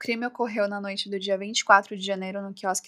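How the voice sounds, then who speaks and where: A woman speaks in a normal speaking voice at a medium pitch and a moderate pace, with fairly even intonation. The sound is dry and close with no echo, and the recording is very clean over a silent background. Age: 20s. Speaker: true crime podcaster. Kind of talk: scripted narration. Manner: casual.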